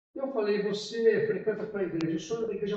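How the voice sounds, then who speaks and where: Room echo is audible as this man talks. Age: 60s. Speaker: pastor. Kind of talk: sermon. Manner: conversational.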